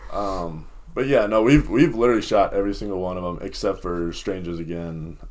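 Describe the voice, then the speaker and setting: A man with an American accent and an ordinary speaking voice, fairly low pitch, ordinary pitch variation, a fairly quick pace and big swings in loudness. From Minnesota (Lakeville). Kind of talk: casual interview.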